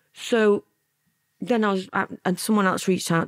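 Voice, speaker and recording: The recording is dry and close, with no echo at all. A woman talks at a medium pitch. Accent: Lancashire. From Lancashire, England (born in Milan, moved at nine). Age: 50s. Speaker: former mafia courier and author. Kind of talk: interview storytelling.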